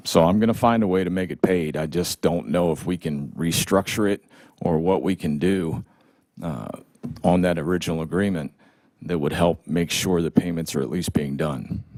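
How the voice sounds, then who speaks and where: Vocal fry marks this man's very deep, low voice, which has ordinary pitch variation and a moderate pace. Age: 60s. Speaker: licensed builder. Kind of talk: public hearing.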